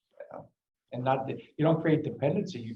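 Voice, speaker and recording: A man's somewhat breathy voice in a Greek accent, dark and mellow in tone, with audible room echo. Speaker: meeting attendee. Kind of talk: public meeting discussion.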